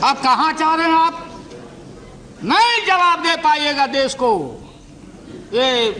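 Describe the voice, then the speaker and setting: A man's raised, projected voice with a Bihari accent, extremely high pitch, lively intonation and long, frequent pauses over noticeable background noise. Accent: Bihari Hindi. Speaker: politician. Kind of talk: parliamentary speech. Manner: humorous, witty.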